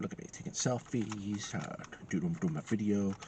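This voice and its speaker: The speaker is a man with a fairly low pitch. Noticeable background noise can be heard. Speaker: tech reviewer. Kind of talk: product review. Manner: halting, many fillers.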